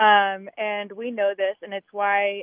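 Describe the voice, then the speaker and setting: A woman with an American accent speaks very slowly at a medium pitch, her intonation monotone and flat. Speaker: caller. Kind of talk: casual chat. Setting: phone call.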